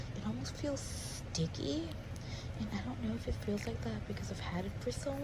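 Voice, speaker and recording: Through noticeable background noise, a woman whispers at a fairly quick pace. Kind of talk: ASMR whispering, makeup swatching. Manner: whispered.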